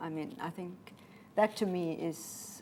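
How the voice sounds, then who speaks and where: The speaker is a woman with a German accent. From Namibia. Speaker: pilot and author. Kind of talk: interview.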